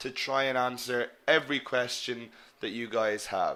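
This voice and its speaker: A man at medium pitch with an Irish accent, a bright, sharp tone and a moderate pace. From Ireland. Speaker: English teacher. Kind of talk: online lecture. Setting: live webinar.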